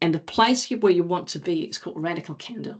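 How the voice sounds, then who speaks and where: A woman speaks with a non-native accent, lively intonation and vocal fry. Her pitch is fairly low. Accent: noticeable non-native. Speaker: agile coach and former Olympic athlete. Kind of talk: conference talk.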